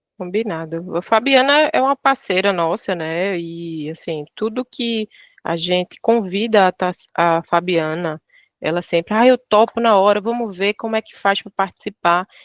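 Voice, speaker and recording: Her loudness swings widely as she talks at a fairly slow pace. The woman has a northeastern Brazilian accent, a medium pitch, and ordinary pitch variation. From Pernambuco, Brazil. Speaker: travel operator product staff. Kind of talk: online training webinar.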